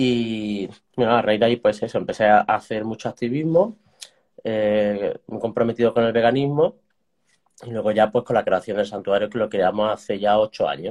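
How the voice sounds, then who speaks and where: A man's unremarkable speaking voice at a moderate pace with ordinary pitch variation. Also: medium pitch for a man. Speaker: animal sanctuary co-founder and author. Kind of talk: interview.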